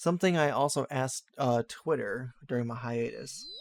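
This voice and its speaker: A man talks at a medium pitch, and the sound is dry and close with no echo. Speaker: YouTuber. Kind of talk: monologue update video. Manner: calm.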